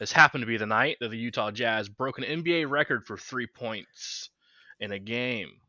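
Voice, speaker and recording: This normal speaking voice, with an American accent, moves at a moderate pace with ordinary pitch variation. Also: man, medium pitch for a man. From Kansas City, Missouri. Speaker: podcast co-host. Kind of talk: casual chat.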